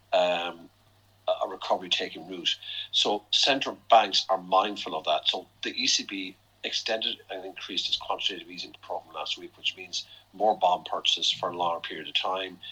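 A man speaks with an Irish accent at a moderate pace. His loudness swings widely. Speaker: chief economist. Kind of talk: interview on financial markets. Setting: podcast. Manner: hesitant with fillers.

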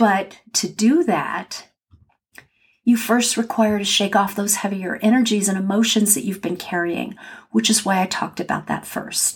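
A woman with an American accent speaks at a moderate pace in a calm, soothing tone, her voice somewhat breathy and her pitch varying in an ordinary way. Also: medium pitch for a woman. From California. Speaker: podcast host and grief guide. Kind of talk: solo podcast monologue. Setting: home office.

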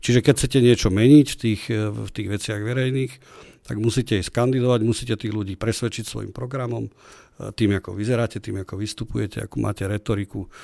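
At a very fast pace, a man's fairly low voice, dark and mellow in tone with fairly even intonation, sounds dry and close with no echo on a very clean recording with a silent background. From Slovakia, Trenčín. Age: 40s. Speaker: regional party chairman, politician. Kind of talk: interview. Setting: studio.

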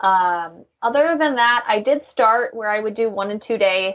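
Against a quiet background, a woman with fairly high pitch and lively intonation talks in an ordinary speaking voice. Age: 30s. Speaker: Airbnb host and marketing business owner. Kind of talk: interview.

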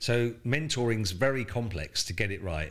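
A man with a southern English accent and ordinary pitch variation. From southern England coast. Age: 60s. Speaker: retail executive and startup mentor. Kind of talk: interview. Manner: halting, repeats words.

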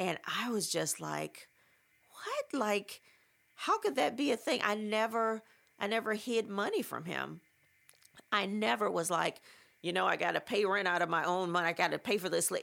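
A woman talks at a moderate pace. She leaves long, frequent pauses. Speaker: podcast host and memoir author. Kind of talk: casual monologue, partly reading from own book. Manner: rising pitch when agitated; conversational, with frequent fillers.

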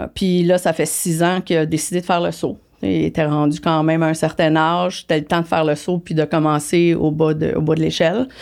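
In a very clean recording with a silent background, a woman with a very deep, low voice speaks at a fairly quick pace with hardly any pauses, very even loudness and fairly even intonation. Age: 50s. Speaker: business executive. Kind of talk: interview. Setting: studio.

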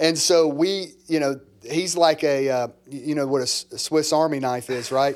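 With an American accent and an ordinary speaking voice, the speaker moves at a moderate pace with fairly even intonation and hardly any pauses. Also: man, fairly high pitch for a man. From US South, small-town Mississippi. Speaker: pastor, church planter. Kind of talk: casual chat.

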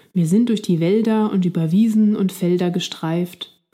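This woman's voice is somewhat breathy with a dark, mellow tone, moving at a fairly slow pace with fairly even intonation. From Switzerland. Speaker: language-learning podcast host. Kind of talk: scripted narration for German learners. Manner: clear, slow-paced for learners.

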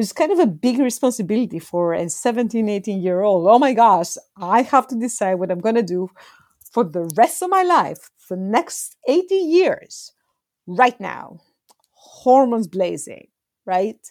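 A woman speaks fairly slowly in a Greek accent, her fairly high voice swinging very widely in pitch. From Greece. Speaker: astronomer and nonprofit executive. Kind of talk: interview conversation.

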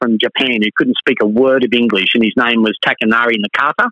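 This is a man's voice. He speaks with an Australian accent. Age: 50s. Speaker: sports referee. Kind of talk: interview.

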